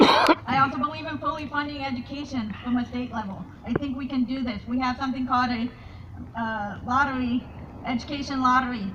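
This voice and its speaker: High-pitched woman's voice at a fairly quick pace, with noticeable background noise. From Colombia. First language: Spanish. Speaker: political candidate. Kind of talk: campaign speech. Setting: candidate forum with audience. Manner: halting, many fillers and repetitions.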